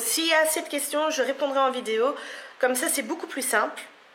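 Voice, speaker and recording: A woman's voice with ordinary pitch variation carries an audible room echo. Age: 20s. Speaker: beauty vlogger. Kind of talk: casual vlog to camera. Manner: hesitant, many fillers.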